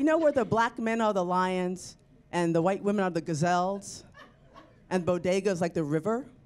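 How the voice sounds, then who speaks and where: Here a woman talks at a moderate pace with ordinary pitch variation. Her loudness stays very even. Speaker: comedian. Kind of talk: stand-up. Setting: stage with audience. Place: studio. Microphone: handheld.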